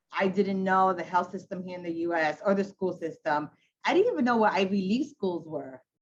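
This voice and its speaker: A woman with a Spanish accent speaks at a medium pitch. Her pace is fairly quick. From Ecuador, raised in Queens, New York. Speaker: hospital CEO. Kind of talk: panel discussion. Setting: video call. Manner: casual, animated.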